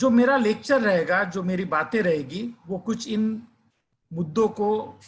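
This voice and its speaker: With a Marathi accent, a man speaks at a high pitch with ordinary pitch variation, recorded very cleanly against a silent background. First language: Marathi (speaking Hindi). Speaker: educator. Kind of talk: lecture.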